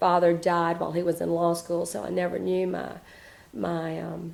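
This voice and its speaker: A woman speaks in a Southern US accent. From South Carolina, Spartanburg. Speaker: interviewee. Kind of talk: oral history interview. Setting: at home. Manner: hesitant, many fillers.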